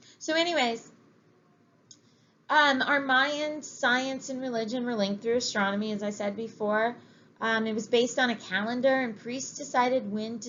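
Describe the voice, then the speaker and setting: Audible room echo surrounds a woman's high voice as she speaks with fairly even intonation. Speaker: history teacher. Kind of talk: lecture. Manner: reading from text.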